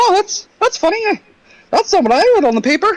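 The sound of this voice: A squeaky put-on character voice, extremely high in pitch, at a fairly quick pace.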